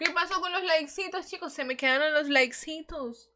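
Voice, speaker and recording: Against a quiet background, a woman speaks in a raised, projected voice at a moderate pace. Her tone is animated and her intonation lively. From Ecuador. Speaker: gaming streamer. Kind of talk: live gaming stream chat. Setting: livestream. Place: home room. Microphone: studio mic.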